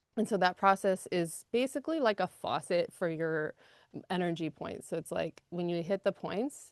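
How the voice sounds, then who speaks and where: A woman speaks in a fairly low pitch. The sound is dry and close with no echo, and the background is quiet. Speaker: energy healing practitioner. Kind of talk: guided healing session. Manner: fast; animated.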